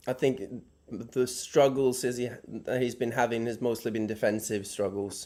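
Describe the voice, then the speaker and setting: A man's dark, mellow voice at medium pitch, moderate pace and fairly even intonation. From Norway. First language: Norwegian. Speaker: caller. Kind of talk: call-in question on live show. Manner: halting.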